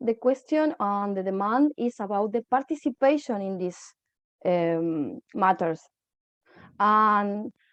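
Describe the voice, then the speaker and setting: Speaking at a very slow pace, a woman has a fairly high pitch. Her intonation is lively. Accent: Spanish. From Uruguay. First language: Spanish. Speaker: environmental researcher. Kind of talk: video call Q&A. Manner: halting, with many fillers.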